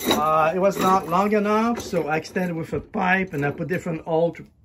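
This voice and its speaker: Noticeable background noise runs under the speech. The pace is moderate. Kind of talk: tutorial. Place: workshop. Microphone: phone near.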